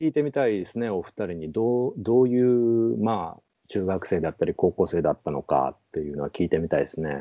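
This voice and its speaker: A man talks at a fairly quick pace with hardly any pauses. His fairly low voice makes very wide pitch swings. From Kansai, Japan. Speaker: bookshop owner. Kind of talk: casual chat.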